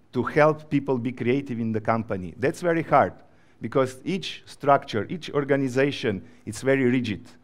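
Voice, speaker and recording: Ordinary pitch variation and a moderate pace mark this voice with a Slovenian accent. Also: man. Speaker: creative agency professional. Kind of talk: conference talk.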